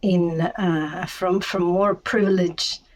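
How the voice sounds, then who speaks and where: Noticeable background noise sits under a woman speaking at a very slow pace in a medium pitch. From Chiapas, Mexico. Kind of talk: podcast interview. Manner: halting, many fillers and repetitions.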